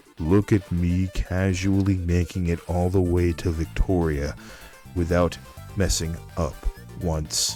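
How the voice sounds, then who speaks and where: Over music in the background, a man talks at a very slow pace with a very deep, low pitch. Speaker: video game streamer. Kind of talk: quiet let's play commentary.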